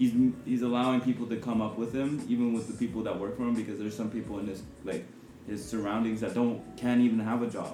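Speaking very fast in a monotone with flat intonation, a man with a medium-pitched voice is heard over noticeable background noise. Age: 20s. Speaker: podcast host. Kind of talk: casual chat.

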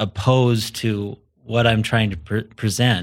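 A man with an unremarkable speaking voice talks in a medium pitch with ordinary pitch variation. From US, southern Idaho. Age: 40s. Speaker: entrepreneur. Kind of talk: casual interview.

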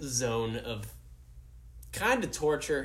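A man speaks with an American accent. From Green Bay, Wisconsin. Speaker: aspiring woodworker. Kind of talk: casual chat. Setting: studio.

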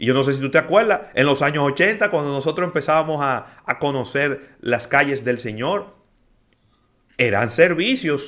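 Speaking at a moderate pace, a man has a normal speaking voice with a fairly high pitch and lively intonation. The recording is very clean, with a silent background. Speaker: radio host. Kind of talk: radio talk show, casual discussion. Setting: radio studio.

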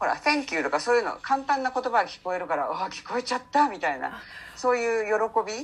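Very fast speech from a woman, fairly high in pitch, with very wide pitch swings and big swings in loudness. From Japan, Saitama. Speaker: English coach, former subtitle translator. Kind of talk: interview conversation.

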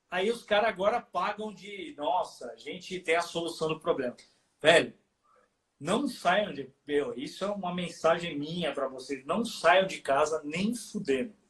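Intonation stays lively while the talking goes at a fairly slow speed. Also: man, high pitch for a man. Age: 50s. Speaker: heavy metal musician. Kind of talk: casual chat. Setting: live stream from home studio.

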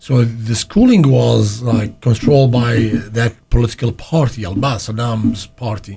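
At a moderate pace, a man with an Arabic accent speaks at medium pitch, somewhat breathy, with fairly even intonation and a dark, mellow tone. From Iraq, Baghdad. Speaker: immigrant sharing life story. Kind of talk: interview. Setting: studio. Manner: halting.

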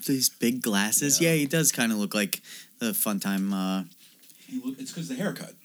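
A man talks at a fairly quick pace in a medium pitch. His pitch swings very widely. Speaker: podcast co-host. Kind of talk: casual banter, comedic movie review chat.

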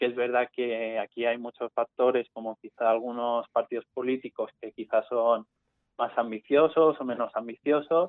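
Speaking with fairly even intonation, a man holds a medium pitch. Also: moderate pace. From Mallorca. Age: young. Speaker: climate activist and student. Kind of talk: interview. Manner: halting.

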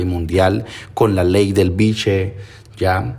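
Audible room echo surrounds a man whose voice is somewhat breathy and fairly low. He talks at a very slow pace with fairly even intonation. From Colombian Pacific coast, Timbiquí, Cauca. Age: 20s. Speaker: cultural manager and musician. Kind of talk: interview testimony. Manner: halting.

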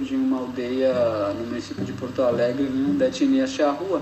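A man talks at a fairly slow pace with fairly even intonation. Audible room echo and noticeable background noise surround his voice. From Rio Grande do Sul, Brazil (Guarani village near Viamão). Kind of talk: recorded answers to schoolchildren's questions. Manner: halting, many fillers.

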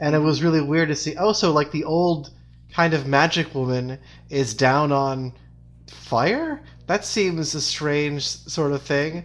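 A normal speaking voice with fairly even intonation at a fairly slow pace. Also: man, fairly high pitch for a man. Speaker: guest and fan of the show. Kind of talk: casual podcast discussion.

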